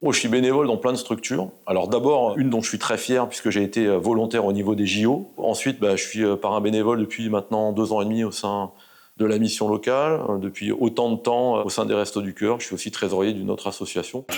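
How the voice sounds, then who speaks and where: A man's fairly low-pitched voice at a very fast pace, with fairly even intonation, on a very clean recording with a silent background. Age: 60s. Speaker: volunteer mentor and sales manager. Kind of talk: interview testimony. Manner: hesitant, many fillers.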